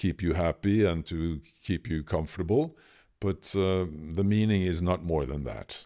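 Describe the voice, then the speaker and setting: Here a man speaks with a Norwegian accent and a very deep, low pitch in a dark, mellow tone. His intonation is fairly even, on a very clean recording with a silent background. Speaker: filmmaker and speaker. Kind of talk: interview. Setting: in person in Oslo. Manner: halting, many fillers.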